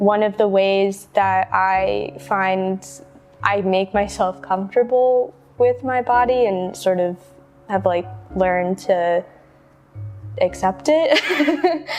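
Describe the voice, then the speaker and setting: A woman with an American accent speaks at a very slow pace in a medium pitch, her loudness very even and her intonation lively, with long, frequent pauses and music in the background. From Indiana, US Midwest. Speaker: artist. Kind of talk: interview. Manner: hesitant, many fillers.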